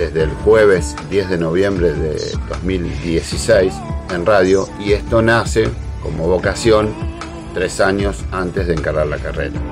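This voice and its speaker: With clear music in the background, a man speaks in a very deep, low pitch at a fairly slow pace, his intonation lively. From Argentina. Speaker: national broadcaster and radio host, sports. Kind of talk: casual talk to camera, self-introduction. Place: home room. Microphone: webcam.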